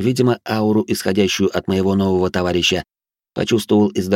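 Quiet surroundings and plain reading aloud.

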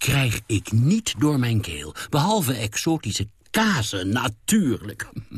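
A natural voice reads the words aloud.

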